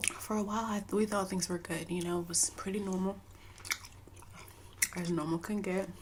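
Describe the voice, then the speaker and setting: A soft-spoken woman at a medium pitch and a moderate pace, with monotone, flat intonation, very even loudness, long, frequent pauses, and noticeable background noise. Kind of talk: casual storytime talk to camera.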